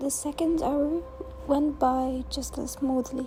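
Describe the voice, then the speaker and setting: The speaker has a non-native accent and talks at a very slow pace. Music plays in the background. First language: not English. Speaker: booktuber. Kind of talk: scripted narration.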